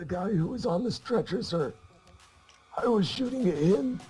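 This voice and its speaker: Raspy and high-pitched, a man performs a put-on character voice with lively intonation at a moderate pace. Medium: machinima. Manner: offhand, deadpan, evasive.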